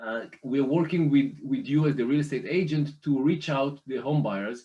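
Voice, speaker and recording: At a moderate pace, a man speaks in a dark, mellow tone with ordinary pitch variation. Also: fairly high pitch for a man. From Israel. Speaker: private lender representative. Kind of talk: business presentation. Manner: hesitant, many fillers.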